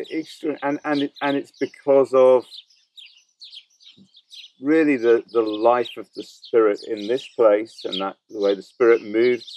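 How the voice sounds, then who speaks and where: A man with a medium-pitched voice speaks fairly slowly, with ordinary pitch variation and long, frequent pauses. His loudness swings widely, and the sound is dry and close with no echo. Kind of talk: podcast host conversation.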